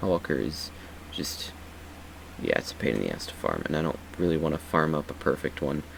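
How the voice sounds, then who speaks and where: A man's very deep, low voice with long, frequent pauses over noticeable background noise. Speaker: gaming YouTuber. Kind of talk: game build tutorial. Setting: at home late at night. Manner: quiet, speaking softly; casual with many fillers.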